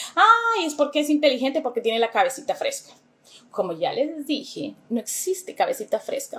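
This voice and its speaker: At a moderate pace, a woman speaks in an animated tone with very wide pitch swings. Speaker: English teacher. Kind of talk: educational talk to camera.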